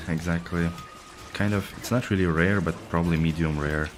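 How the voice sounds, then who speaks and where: Through noticeable background noise, a man with a Russian accent and a very deep, low pitch speaks at a fairly quick pace with fairly even intonation. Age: 30s. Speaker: video game streamer. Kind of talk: casual chat. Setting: live stream.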